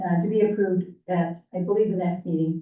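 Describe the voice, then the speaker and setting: The speech keeps a moderate pace and fairly even intonation. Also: woman. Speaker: city commissioner. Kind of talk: public meeting report. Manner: loud.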